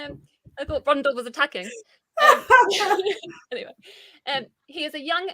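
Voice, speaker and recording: Projecting her raised voice in a bright, sharp tone, a woman makes very wide pitch swings, with a dry, close sound and no echo. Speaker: book channel co-host. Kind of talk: casual chat; reading aloud.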